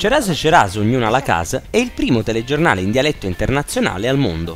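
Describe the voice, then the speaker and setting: Over music in the background, a man with medium pitch talks at a very fast pace, his pitch swinging very widely. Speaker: news presenter. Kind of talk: TV news feature narration.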